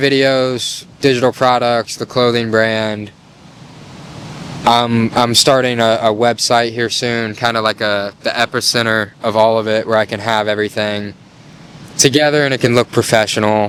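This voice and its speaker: Noticeable background noise sits behind a man's voice. He keeps a moderate pace with fairly even intonation. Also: medium pitch for a man. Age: 20s. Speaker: content creator. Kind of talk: casual talk to camera. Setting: outdoors.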